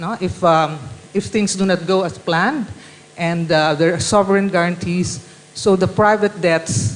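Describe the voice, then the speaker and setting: Noticeable background noise is present. The talking proceeds at a moderate pace. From Philippines. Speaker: panelist. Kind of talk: panel discussion. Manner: halting.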